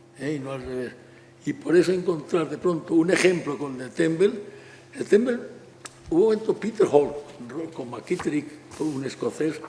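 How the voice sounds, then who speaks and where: A man's fairly high voice at a moderate pace, with lively intonation, big swings in loudness and long, frequent pauses, over noticeable background noise. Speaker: architect. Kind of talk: public talk.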